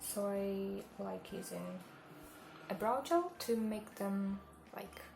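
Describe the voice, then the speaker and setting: A woman with a non-native accent speaks at a very slow pace. Audible room echo and noticeable background noise are present. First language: not English. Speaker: makeup vlogger, hotel receptionist. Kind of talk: makeup tutorial. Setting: home kitchen. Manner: halting.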